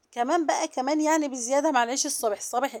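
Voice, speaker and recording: A woman talks fairly quickly at a high pitch with fairly even intonation on a very clean recording with a silent background. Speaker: vlogger. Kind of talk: casual vlog narration. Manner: soft-spoken.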